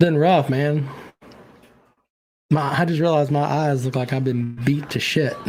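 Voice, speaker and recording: Audible room echo surrounds a man talking at a fairly slow pace in a fairly high pitch. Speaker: sports podcast host. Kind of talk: casual chat.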